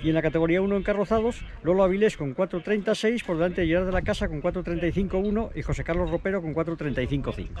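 A high-pitched man at a moderate pace with hardly any pauses and ordinary pitch variation, dry with no echo, over light background noise. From Spain. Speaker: motorsport commentator; motorsport reporter. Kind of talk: on-location reporting. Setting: outdoors. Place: open country. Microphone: camera far.

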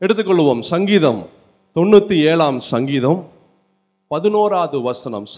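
An energetic man with a fairly high voice and lively intonation, over a quiet background. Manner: energetic, exhortative, rousing the audience. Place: church. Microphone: handheld.

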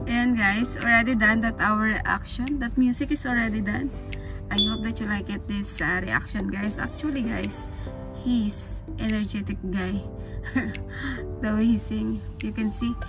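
Over clear background music, a woman talks at a moderate pace with long, frequent pauses. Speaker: reaction video creator. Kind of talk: casual vlog chat. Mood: amazed, enthusiastic.

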